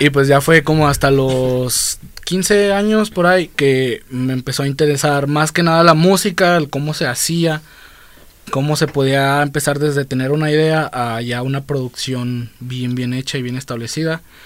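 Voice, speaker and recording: This man has an ordinary speaking voice, pitched fairly high with ordinary pitch variation. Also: moderate pace. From Guadalajara, Mexico. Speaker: music producer and artist. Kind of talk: casual chat.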